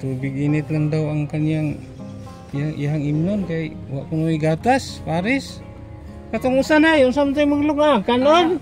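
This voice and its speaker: The speech comes at a fairly slow pace with music in the background. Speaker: charity vlogger. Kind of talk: casual vlog narration and conversation.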